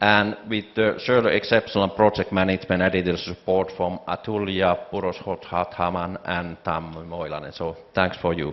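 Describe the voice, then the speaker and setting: A man's very deep, low voice with a Finnish accent, fairly even intonation and hardly any pauses. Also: moderate pace. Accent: Finnish accent, noticeable. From Finland. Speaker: founder and CEO of a bioeconomy organization, panelist. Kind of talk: conference panel presentation. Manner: hesitant with fillers.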